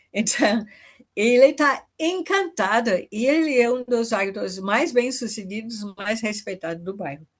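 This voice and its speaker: A woman talks at a fairly slow pace, her pitch fairly high and her intonation lively. It is an unremarkable speaking voice. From foreign-born, not Brazilian. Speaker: permaculture pioneer and farmer. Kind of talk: podcast interview.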